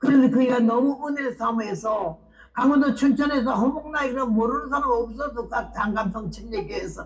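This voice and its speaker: Her voice is high-pitched for a woman, with ordinary pitch variation and a fairly quick pace. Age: 80s+. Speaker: missionary preacher. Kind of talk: sermon. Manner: lively storytelling.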